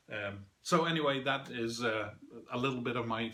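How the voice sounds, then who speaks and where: A man with a medium pitch and ordinary pitch movement talks while background noise is noticeable. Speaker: board game reviewer. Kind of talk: review. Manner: hesitant, many fillers.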